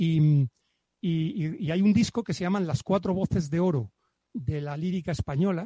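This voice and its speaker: Recorded with a dry, close sound and no echo, a man with a dark, mellow tone and high pitch speaks at a fairly slow pace with ordinary pitch variation. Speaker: guest discussing his grandfather's book. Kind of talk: casual chat. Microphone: professional microphone.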